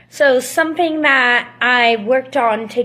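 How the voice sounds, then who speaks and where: A woman speaks in a raised, projected voice, high-pitched and bright with a sharp tone and lively intonation. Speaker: student teacher. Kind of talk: presentation.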